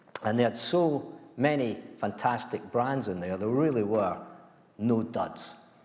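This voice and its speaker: Speaking with a Scottish accent and lively intonation, a man is heard with audible room echo. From Scotland, small mining village. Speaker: former company chief executive. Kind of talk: lecture.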